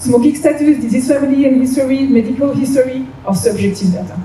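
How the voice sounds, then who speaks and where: A woman speaks in a French accent at a high pitch with ordinary pitch variation. Room echo is audible, and the background noise is noticeable. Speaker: business development head at a diagnostics company. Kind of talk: conference presentation.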